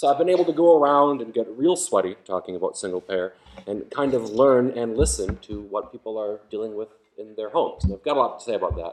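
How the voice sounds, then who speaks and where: A man talks at a very fast pace at medium pitch, with lively intonation and big swings in loudness. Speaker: health policy writer and speaker. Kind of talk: public talk. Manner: casual, animated.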